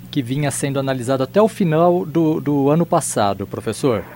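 A man's fairly high voice, with lively intonation at a moderate pace, rises over noticeable background noise. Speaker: radio host. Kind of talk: radio interview questions.

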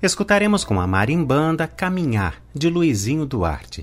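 This man's pitch sits fairly high and swings very widely. He speaks at a fairly slow pace. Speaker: radio presenter. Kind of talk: radio music program presenting.

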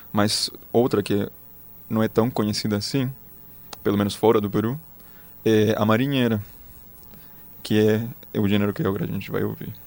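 With a Spanish accent, a man talks at a moderate pace in a fairly low pitch, his intonation fairly even and broken by long, frequent pauses. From Chile, Magallanes. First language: Spanish (speaking Portuguese). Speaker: music researcher. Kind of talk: interview.

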